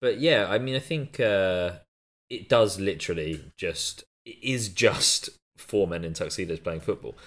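Speaking at a fairly slow pace, a man with a fairly low pitch uses lively intonation. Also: very clean recording, silent background. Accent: British. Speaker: podcast co-host. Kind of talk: casual chat.

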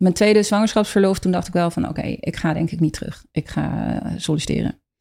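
Her pitch fairly low and her intonation fairly even, a woman speaks at a fairly quick pace with vocal fry. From Rotterdam, Netherlands. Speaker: fermentation teacher, former HR trainer. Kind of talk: interview conversation.

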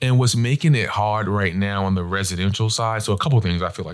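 Speaking with an American accent, a man talks at a very fast pace. His pitch is fairly low, with ordinary pitch variation. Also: very clean recording, silent background. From Long Island, New York. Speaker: real estate developer, company founder. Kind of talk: interview.

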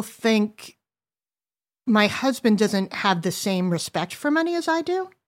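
A woman with an American accent swings her pitch very widely on a very clean recording with a silent background. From US Northeast. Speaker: adult daughter sharing family money story. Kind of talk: casual chat.

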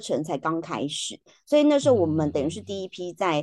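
This voice has a dark, mellow tone and pitch that swings very widely. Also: woman, quiet background. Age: 40s. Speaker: educator and podcaster. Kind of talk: interview. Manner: laughs often.

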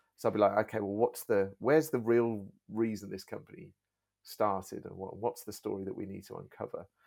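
A man with an English accent speaks at a fairly quick pace and fairly low pitch. His pitch varies in an ordinary way while his loudness swings widely. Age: 40s. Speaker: YouTuber and video agency owner. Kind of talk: casual chat. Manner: halting, repeats words.

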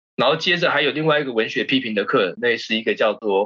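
A man speaks with a Taiwanese accent at a moderate pace. His intonation is lively. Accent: Taiwanese Mandarin. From Taiwan, Keelung. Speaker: stage actor and theatre company director. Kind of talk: casual chat.

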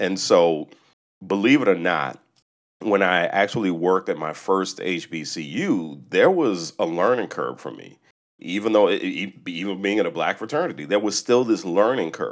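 A man with an ordinary speaking voice, a fairly low pitch and lively intonation talks at a moderate pace. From US South, New Orleans. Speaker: university communications director. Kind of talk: casual interview. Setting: remote recording.

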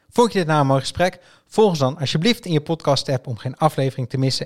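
The somewhat breathy voice shows ordinary pitch variation, heard in a very clean recording with a silent background and a dry, close sound with no echo. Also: man. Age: 30s. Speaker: podcast host. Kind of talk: interview about art and life. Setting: studio.

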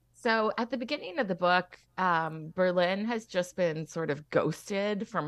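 This woman has an unremarkable speaking voice at a medium pitch. She talks at a fairly slow pace with lively intonation. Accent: Canadian. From Alberta. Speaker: young adult novelist. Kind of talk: interview.

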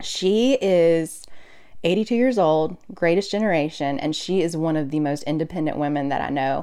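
The voice has a dark, mellow tone and an American accent. It keeps a moderate pace with ordinary pitch variation. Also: woman, fairly low pitch for a woman. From US South, Mobile, Alabama. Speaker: nurse. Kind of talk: interview.

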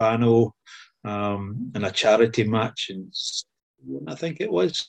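In a Scottish accent, a man speaks at medium pitch and a moderate pace. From Scotland. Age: 60s. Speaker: former footballer. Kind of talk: casual interview.

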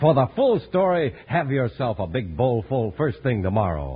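A man's somewhat breathy voice at a moderate pace, full of very wide pitch swings. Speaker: commercial announcer. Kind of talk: radio ad and announcer. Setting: old transcribed radio broadcast.

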